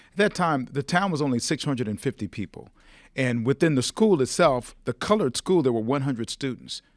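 With an American accent, a man speaks at a medium pitch and a fairly quick pace with lively intonation, a plain, everyday voice, in a very clean recording with a silent background and dry, close sound with no echo. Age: 60s. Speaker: TV personality. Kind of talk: casual chat. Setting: studio.

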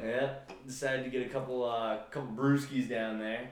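This man's voice sits at a medium pitch with ordinary pitch variation. Noticeable background noise runs under it. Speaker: podcast host.

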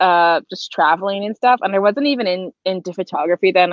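Fairly quick speech from a woman, medium in pitch. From US, Boston. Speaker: photographer. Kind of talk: casual chat.

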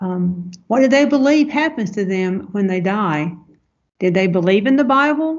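Speaking with a Southern US accent, a woman at medium pitch moves through very wide pitch swings at a moderate pace. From US South. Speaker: missionary language coach. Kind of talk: interview, personal reflection.

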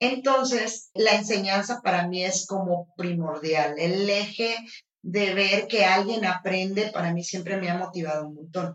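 A woman at a medium pitch with ordinary pitch variation, at a fairly slow pace. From northern Mexico, Los Mochis. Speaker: flamenco dance teacher. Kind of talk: interview conversation. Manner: animated.

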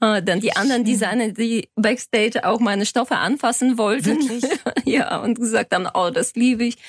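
A woman with a Bulgarian accent at a fairly quick pace, fairly high in pitch with ordinary pitch variation, very even in loudness, dry and close with no echo. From Bulgaria, Sofia. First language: Bulgarian (speaking German). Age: 40s. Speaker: lawyer and fashion designer. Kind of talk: interview. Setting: studio.

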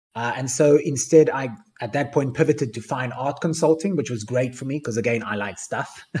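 With a South African accent, a man talks at a fairly quick pace, his dark, mellow tone somewhat breathy. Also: medium pitch for a man, ordinary pitch variation. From Cape Town, South Africa. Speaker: NFT project founder. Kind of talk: AMA talk. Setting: online audio space.

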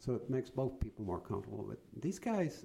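This man speaks at a fairly quick pace with vocal fry. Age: 70s. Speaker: leadership coach. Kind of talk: interview.

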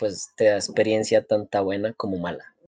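The voice moves at a fairly slow pace with a dry, close sound and no echo. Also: man. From Colombia. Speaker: podcast co-host. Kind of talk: casual chat.

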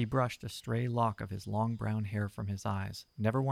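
Plain reading aloud, its intonation kept fairly even

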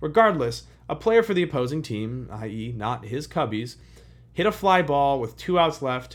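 An unremarkable speaking voice belongs to a man with an American accent who talks at a moderate pace with lively intonation. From Chicago, US Midwest. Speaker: history podcast host. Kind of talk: history narration. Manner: casual, conversational.

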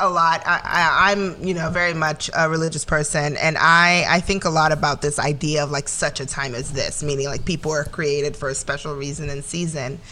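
With hardly any pauses, a woman speaks at a moderate pace and a very deep, low pitch. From Nigeria. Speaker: marketer. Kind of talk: casual chat.

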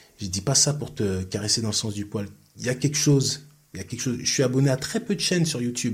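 At a fairly quick pace, a man speaks in a somewhat breathy, medium-pitched voice with ordinary pitch variation. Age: 50s. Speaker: sports coach. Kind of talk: interview. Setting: studio. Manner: talkative, fluent.

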